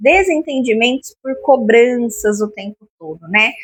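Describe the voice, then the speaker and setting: A woman's bright, sharp voice moves with lively intonation in a dry, close recording with no echo. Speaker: lifestyle vlogger. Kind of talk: casual home vlog talk. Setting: at home.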